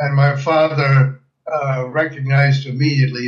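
A man speaks at a very slow pace with a fairly high pitch. His voice is somewhat breathy and his intonation monotone and flat. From Germany, Breslau (Silesia); emigrated to US at 13. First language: German. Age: 80s+. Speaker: World War II veteran and refugee. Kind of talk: interview testimony. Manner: halting, frequent fillers.

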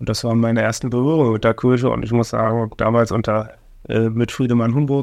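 The speech moves at a fairly quick pace with monotone, flat intonation. The background is quiet. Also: man, medium pitch for a man. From Germany, Oranienburg (Brandenburg). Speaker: city finance official and deputy mayor. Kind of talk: casual interview.

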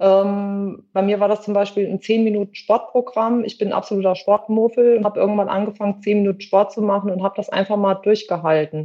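At a fairly quick pace with hardly any pauses, a woman talks in a monotone, flat intonation at a medium pitch. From western Germany. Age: 50s. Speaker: theatre costume maker. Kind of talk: interview.

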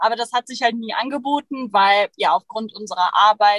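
A woman's unremarkable speaking voice, fairly high in pitch with ordinary pitch variation, in a dry, close sound with no echo. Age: 20s. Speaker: photographer and van nomad. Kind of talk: casual interview. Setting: in a van in Sweden, streamed.

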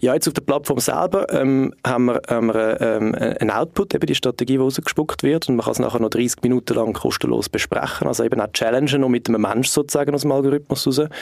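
Delivered at a very fast pace with hardly any pauses, the speech has ordinary pitch variation and very even loudness. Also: man, medium pitch for a man. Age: 30s. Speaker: marketing consultant and startup co-founder. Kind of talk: podcast interview.

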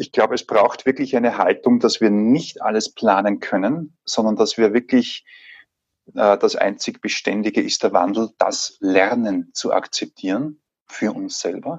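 A man with a slight Salzburg accent speaks at a fairly slow pace, the sound dry and close with no echo. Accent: slight Salzburg Austrian. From Austria, Salzburg. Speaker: leadership trainer and coach, trained actor. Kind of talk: casual interview. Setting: remote recording.

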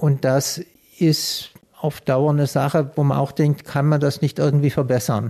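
Fairly slow and very even in loudness, a man speaks with a dark, mellow tone and a somewhat breathy quality. His pitch is fairly high, with fairly even intonation. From Swabia, Swabian Alb. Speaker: paediatric surgeon. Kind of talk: interview. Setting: in his office.

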